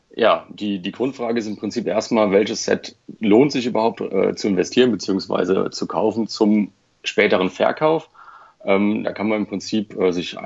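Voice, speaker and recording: In an unremarkable speaking voice, a man talks at a moderate pace with a fairly low pitch and ordinary pitch variation. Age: 30s. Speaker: Lego collector and private investor. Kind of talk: casual interview.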